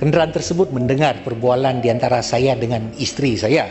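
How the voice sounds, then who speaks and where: With music in the background, a man speaks at a moderate pace and a medium pitch. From Sabah, Malaysia. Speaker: member of parliament. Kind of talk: parliamentary speech. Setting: parliament chamber. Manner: formal.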